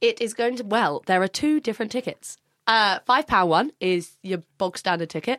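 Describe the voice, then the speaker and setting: A woman with a fairly high pitch speaks at a moderate pace, her intonation lively. The recording is very clean with a silent background, and the sound is dry and close with no echo. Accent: southern English. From Brighton, southern England. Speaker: charity fashion show organiser. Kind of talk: casual chat.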